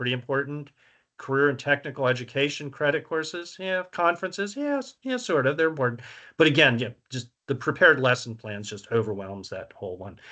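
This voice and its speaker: In a Virginia accent, a man speaks at a fairly quick pace with a fairly high pitch, a bright, sharp tone and big swings in loudness, against a quiet background. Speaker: survey researcher presenting findings. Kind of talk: presentation. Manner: casual, filler-heavy.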